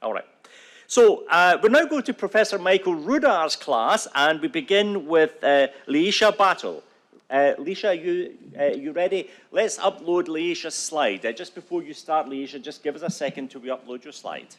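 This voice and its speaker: The voice carries a Scottish accent, lively intonation and big swings in loudness. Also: man, high pitch for a man, moderate pace. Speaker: event moderator. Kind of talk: event moderation.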